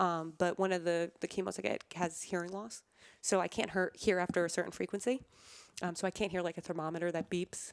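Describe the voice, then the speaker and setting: A woman's fairly low-pitched, a normal speaking voice, at a fairly quick pace with fairly even intonation in a very clean recording with a silent background. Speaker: cancer survivor, former college athlete. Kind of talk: interview.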